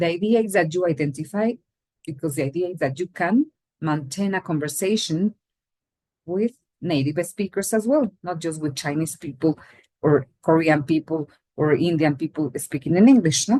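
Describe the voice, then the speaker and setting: A dark, mellow voice with a Latin American accent, ordinary pitch variation and a moderate pace, in a dry, close sound with no echo. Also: woman, fairly low pitch for a woman. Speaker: English teacher. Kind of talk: lecture.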